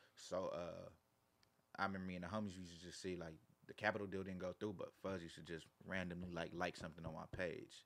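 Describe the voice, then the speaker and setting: Delivered at a very fast pace, the speech has an American accent and a monotone, flat intonation. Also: man, very deep, low pitch for a man. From Carson, Los Angeles area, California. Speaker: rapper. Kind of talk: casual interview chat.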